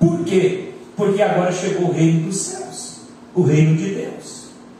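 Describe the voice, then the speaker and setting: A man's high voice at a fairly slow pace, with audible room echo and noticeable background noise. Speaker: pastor. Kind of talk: sermon.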